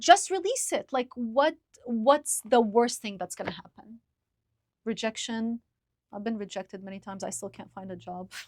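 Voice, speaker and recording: In an Arabic accent, a woman with a fairly high pitch speaks at a moderate pace with lively intonation, the sound dry and close with no echo. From Lebanon. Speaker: podcaster. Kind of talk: casual chat. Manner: articulate.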